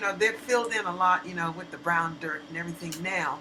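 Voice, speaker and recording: A woman's fairly low voice at a moderate pace with ordinary pitch variation, amid audible room echo and noticeable background noise. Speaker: community historian. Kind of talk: oral history discussion.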